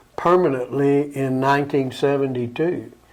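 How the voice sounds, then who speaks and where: This man speaks with an Alabama accent at a fairly slow pace. His pitch is fairly high. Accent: Southern US (Alabama). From US South, Alabama. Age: 80s+. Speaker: local elder reminiscing about town history. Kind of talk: interview.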